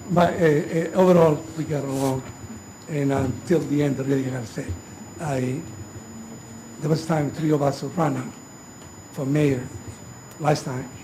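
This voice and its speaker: Amid audible room echo and noticeable background noise, a man speaks at a fairly high pitch. His pace is moderate, his intonation fairly even, and his pauses long and frequent. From Italy. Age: 70s. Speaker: mayor. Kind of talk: inauguration speech. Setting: ceremony with audience. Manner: halting.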